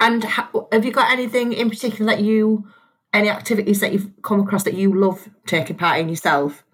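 Speaking at a fairly quick pace, a woman with a fairly high, somewhat breathy voice shows ordinary pitch variation and very even loudness. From County Durham, northeast England. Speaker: podcast host. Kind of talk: casual interview. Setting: video call.

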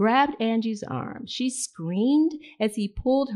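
Ordinary pitch variation in plain reading aloud

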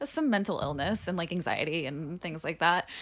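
A woman with an American accent, on a very clean recording against a silent background. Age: 30s. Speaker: musician. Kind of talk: casual chat.

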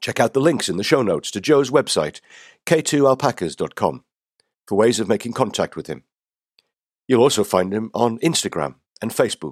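A man's medium-pitched voice with vocal fry swings very widely in pitch at a moderate pace, broken by long, frequent pauses, in a dry, close recording with no echo. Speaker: podcast host. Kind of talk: podcast intro and outro narration.

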